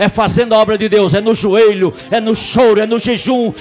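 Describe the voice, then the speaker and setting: A man speaks with music in the background. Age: 60s. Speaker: pastor. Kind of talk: sermon. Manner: animated.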